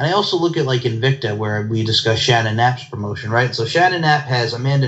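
Medium-pitched male speech at a fairly quick pace, hardly any pauses, ordinary pitch variation, and noticeable background noise. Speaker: podcast host. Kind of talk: casual interview chat.

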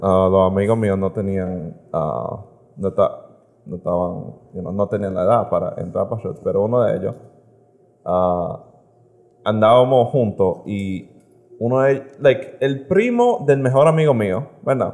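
A medium-pitched male voice, fairly slow in pace, with lively intonation. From United States. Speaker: podcast guest. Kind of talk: casual chat. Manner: halting.

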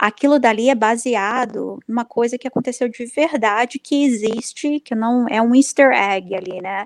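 A woman's unremarkable speaking voice, fairly high-pitched, at a moderate pace with ordinary pitch variation, in a dry, close sound with no echo. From Brazil. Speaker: comic book writer. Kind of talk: casual interview.

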